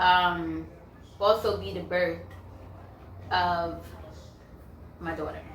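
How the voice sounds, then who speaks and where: Speaking with an American accent, a woman talks at a very slow pace with long, frequent pauses. Audible room echo and noticeable background noise fill the recording. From New York, the Bronx. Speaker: YouTuber, counselor. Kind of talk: casual Q&A chat. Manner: conversational, filler-heavy.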